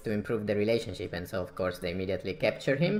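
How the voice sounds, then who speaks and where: Ordinary pitch variation marks a man speaking with an Italian accent. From Italy. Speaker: strategy game streamer. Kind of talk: gameplay commentary.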